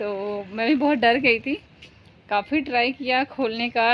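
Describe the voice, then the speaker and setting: The woman's voice is high, and her pitch varies in an ordinary way. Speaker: vlogger. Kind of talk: casual vlog storytelling. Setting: rooftop, outdoors. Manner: halting, with fillers.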